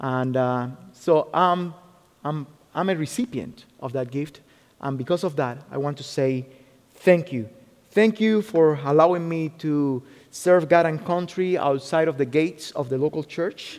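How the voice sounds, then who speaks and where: With a fairly high pitch, this man delivers his words at a fairly slow pace. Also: ordinary pitch variation. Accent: Spanish. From Cuba. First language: Spanish. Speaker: military chaplain. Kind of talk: sermon. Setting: church.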